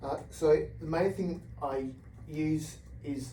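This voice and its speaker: A man speaks with an Australian accent. Audible room echo surrounds his voice. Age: 40s. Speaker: researcher with Parkinson's. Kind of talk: interview. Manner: fast talker by nature.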